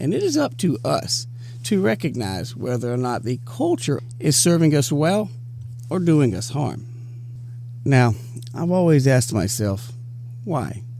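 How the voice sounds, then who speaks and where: Somewhat breathy, dark and mellow delivery with an American accent, ordinary pitch variation, a fairly slow pace and long, frequent pauses. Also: man, medium pitch for a man. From US South. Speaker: business and career tips presenter. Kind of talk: scripted talk to camera.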